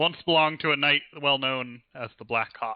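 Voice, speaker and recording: Using a put-on character voice, a man speaks at a moderate pace and a fairly high pitch, with fairly even intonation but big swings in loudness. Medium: actual play.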